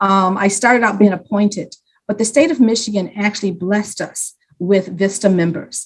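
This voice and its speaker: A woman speaks in a somewhat breathy voice at a medium pitch. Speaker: community program leader. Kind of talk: panel presentation. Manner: passionate.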